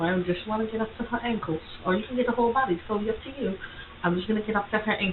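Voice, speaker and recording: The voice has ordinary pitch variation and a very fast pace. Noticeable background noise sits behind it. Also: woman. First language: not English. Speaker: content creator tutorial host. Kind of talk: screen-share tutorial. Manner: casual, halting with self-corrections.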